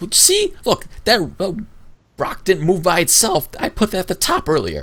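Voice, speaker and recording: Using a put-on character voice, a man talks high at a moderate pace. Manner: defensive, bickering.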